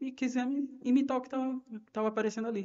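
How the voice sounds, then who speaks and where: A man talks at a fairly quick pace. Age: 30s. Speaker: ministry volunteer. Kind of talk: personal testimony.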